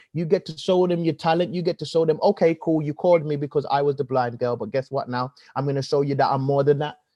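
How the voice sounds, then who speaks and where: Talking very fast, a man with a Birmingham accent has a fairly high-pitched voice. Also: fairly even intonation. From Birmingham, England. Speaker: comedian and presenter. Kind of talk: podcast interview.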